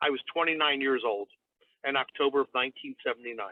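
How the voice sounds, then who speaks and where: A man talks at a very fast pace. His pitch sits fairly high and varies in an ordinary way. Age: 70s. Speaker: diabetes coach. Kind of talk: interview podcast.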